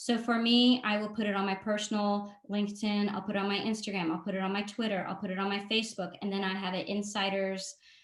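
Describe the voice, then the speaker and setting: Very fast and in a flat monotone, a woman of medium pitch speaks over noticeable background noise. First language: not English (English is her third language). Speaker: marketing consultant and workshop presenter. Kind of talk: webinar presentation. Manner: frequent filler 'um'.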